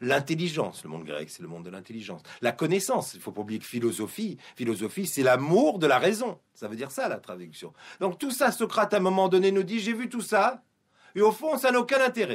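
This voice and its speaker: At a fairly quick pace, a man speaks with a high pitch, very wide pitch swings and big swings in loudness. The recording is very clean, with a silent background. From Guadeloupe. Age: 50s. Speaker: publisher and Torah teacher. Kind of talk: radio interview. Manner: hesitant, with fillers and repetitions.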